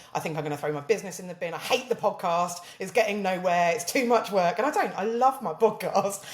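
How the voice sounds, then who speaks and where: A woman talks at a very fast pace with lively intonation, in a southern English accent. Background noise is noticeable. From southern England. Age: 30s. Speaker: social media marketer. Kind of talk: casual chat.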